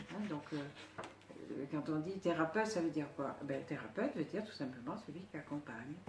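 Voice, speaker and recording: Against noticeable background noise, a woman with a very deep, low pitch talks at a fairly quick pace with lively intonation. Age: 70s. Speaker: psycho-energetic therapist. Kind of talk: interview. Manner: halting.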